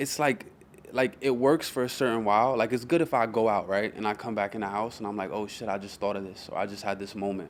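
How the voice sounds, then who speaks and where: A man with a New York accent and a fairly low voice talks at a very fast pace. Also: ordinary pitch variation. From New York City (Queens, Brooklyn). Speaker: rapper. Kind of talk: casual interview chat.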